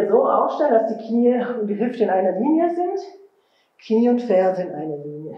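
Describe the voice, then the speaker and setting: Audible room echo surrounds a woman speaking at a moderate pace against a quiet background. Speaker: fitness instructor. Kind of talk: workout instruction.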